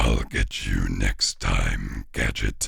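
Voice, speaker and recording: A raspy man performs in a put-on character voice. Light background noise runs underneath. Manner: menacing.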